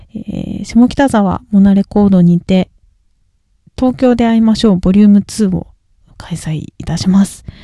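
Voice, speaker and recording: A woman mumbles at a moderate pace, leaving long, frequent pauses, in a somewhat breathy voice with a dark, mellow tone. Her pitch is medium with ordinary variation, and the sound is dry and close with no echo. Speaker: singer and podcast host. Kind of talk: solo casual talk. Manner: mumbling, poor articulation.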